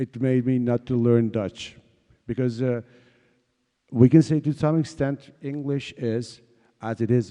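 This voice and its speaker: With a Kurdish accent and a dark, mellow tone, a man speaks fairly slowly with ordinary pitch variation in a dry, close sound with no echo. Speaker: exiled writer and translator, panelist. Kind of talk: panel discussion. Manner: halting, many fillers.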